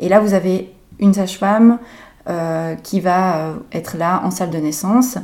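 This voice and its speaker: A woman of medium pitch talks with fairly even intonation in an ordinary speaking voice. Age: 30s. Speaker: midwife. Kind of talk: interview, expert advice.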